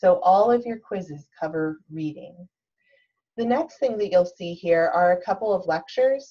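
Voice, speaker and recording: The voice has a dark, mellow tone and lively intonation, with an American accent. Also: woman, medium pitch for a woman. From North Carolina. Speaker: college instructor. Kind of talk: online course walkthrough. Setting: screen-share recording. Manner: slow.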